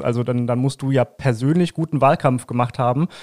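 This man has an unremarkable speaking voice with a fairly high pitch, delivered at a moderate pace. The recording is very clean with a silent background and a dry, close sound with no echo. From Lower Saxony, Langenhagen near Hanover. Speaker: political podcast host, journalist. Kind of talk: interview.

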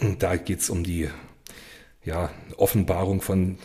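The voice is somewhat breathy with a dark, mellow tone, captured in a very clean recording with a silent background. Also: man. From eastern Germany, Cottbus (Brandenburg). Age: 30s. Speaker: criminal defence lawyer. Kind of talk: interview conversation.

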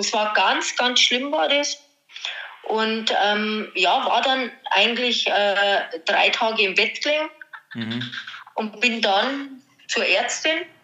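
There is noticeable background noise as a woman speaks very slowly, with long, frequent pauses. Her voice sits fairly high, with ordinary pitch variation. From Bavaria, Germany. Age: 50s. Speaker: podcast guest sharing health story. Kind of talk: personal testimony. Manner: hesitant with many fillers.

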